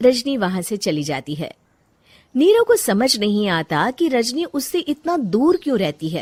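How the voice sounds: A woman's fairly high voice with big pitch swings, at a fairly slow pace. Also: slightly mellow tone.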